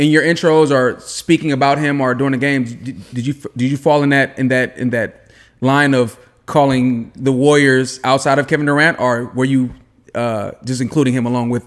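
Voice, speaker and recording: This man has an ordinary speaking voice, medium in pitch, with fairly even intonation at a moderate pace. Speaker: podcast co-host. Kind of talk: podcast hosting.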